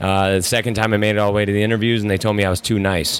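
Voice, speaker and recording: In an American accent, a man delivers his words with monotone, flat intonation. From US Midwest. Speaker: MMA fighter and military veteran. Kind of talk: casual chat. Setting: studio.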